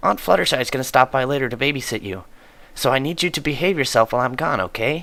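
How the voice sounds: Pitch moves with ordinary variation in this natural reading voice.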